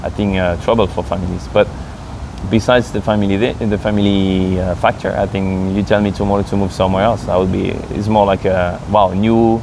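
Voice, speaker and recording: Fairly low and flat, a man's voice with a French accent moves at a fairly quick pace in a monotone over noticeable background noise. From France. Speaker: expat interviewee. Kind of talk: casual interview.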